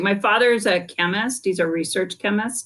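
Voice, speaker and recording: At a moderate pace, a woman with a West Coast accent speaks in a medium pitch with ordinary pitch variation. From California Bay Area. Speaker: business school dean, economist. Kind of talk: interview.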